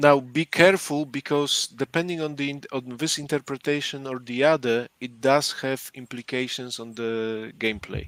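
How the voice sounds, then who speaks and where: A man with a non-native accent and a fairly high pitch speaks at a moderate pace with fairly even intonation, hardly any pauses and big swings in loudness, the sound dry and close with no echo on a very clean recording with a silent background. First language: not English. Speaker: board game podcast co-host. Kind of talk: casual chat explaining game rules. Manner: halting, repeats words.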